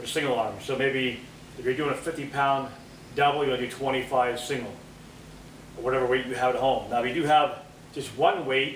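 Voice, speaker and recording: Over light background noise and audible room echo, a man speaks at a fairly quick pace with fairly even intonation. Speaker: fitness trainer. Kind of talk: workout tutorial. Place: gym. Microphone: camera far.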